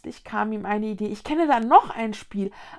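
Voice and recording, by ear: Text is read out loud here, reading aloud in a natural voice.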